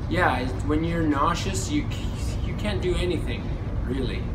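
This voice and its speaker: A man talks against loud background noise. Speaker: travel vlogger. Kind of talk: casual vlog chat. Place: boat. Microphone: phone near.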